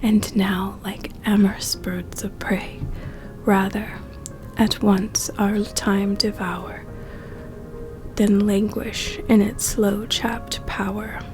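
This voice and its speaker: Soft-spoken delivery at a very slow pace with music in the background. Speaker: college student. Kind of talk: poetry reading. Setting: soothing background music.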